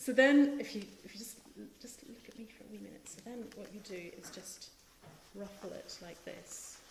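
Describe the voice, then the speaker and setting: A woman with a fairly high pitch speaks at a moderate pace, with ordinary pitch variation and big swings in loudness. Noticeable background noise and audible room echo are present. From Northern Ireland. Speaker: cookbook author. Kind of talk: cooking demonstration. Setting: live stream with in-studio host. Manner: hesitant, many ums.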